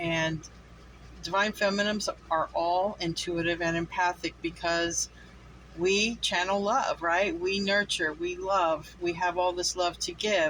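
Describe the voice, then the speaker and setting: Fairly even intonation at a fairly slow pace. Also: woman, fairly low pitch for a woman. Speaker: tarot reader. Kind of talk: channeled tarot reading monologue. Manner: gets louder and firm when channeling; casual with many fillers.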